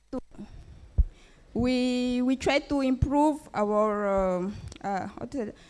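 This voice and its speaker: The speech comes at a very slow pace in a French accent. Pitch varies in an ordinary way. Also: woman. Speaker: entrepreneur. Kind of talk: business pitch; pitch competition Q&A. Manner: halting.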